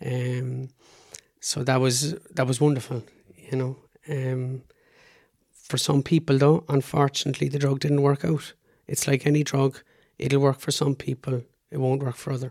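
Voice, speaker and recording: A man with an Irish accent at medium pitch and moderate pace, monotone and flat in intonation, with long, frequent pauses. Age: 40s. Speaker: PhD researcher and cystic fibrosis patient. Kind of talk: interview. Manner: halting.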